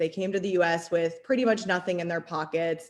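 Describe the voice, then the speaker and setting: A woman with an American accent has an unremarkable speaking voice. Her pitch sits fairly low, with ordinary pitch variation. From Arizona. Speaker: city council candidate. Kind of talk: political forum answer.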